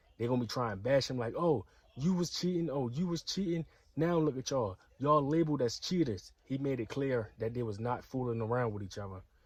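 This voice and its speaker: The speech moves at a fairly quick pace with lively intonation and a somewhat breathy quality. The background is quiet. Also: man, medium pitch for a man. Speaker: YouTube commentary vlogger. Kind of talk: casual commentary vlog.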